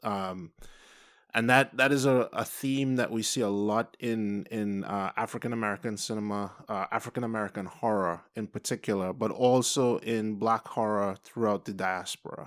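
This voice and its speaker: Over a very clean, silent background, a man with a Trinidadian accent speaks at a moderate pace, with a fairly low pitch and fairly even intonation. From Trinidad and Tobago. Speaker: artist, film review guest. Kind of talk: casual film review discussion. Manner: thoughtful, many fillers.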